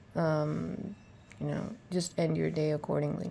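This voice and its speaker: A woman speaks in a soft-spoken way. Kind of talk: personal voice diary, thinking out loud. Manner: casual, unscripted; soft, reflective.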